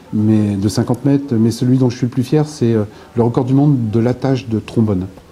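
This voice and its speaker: Against noticeable background noise, a man of medium pitch talks at a fairly quick pace with fairly even intonation and very even loudness. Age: 60s. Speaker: author and former local politician. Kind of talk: interview. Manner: hesitant, many filler sounds.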